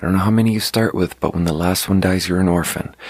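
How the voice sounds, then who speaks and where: A man's intonation stays fairly even while his pitch is very deep and low. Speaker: podcaster. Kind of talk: casual monologue. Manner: soft-spoken.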